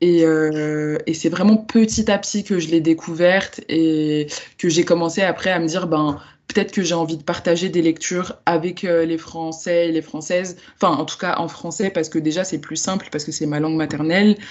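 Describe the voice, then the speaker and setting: A woman with a fairly low pitch speaks at a moderate pace, her intonation fairly even but her loudness swinging widely. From France, Lyon. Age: 20s. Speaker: book influencer and book club founder. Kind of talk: podcast interview. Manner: hesitant, many fillers.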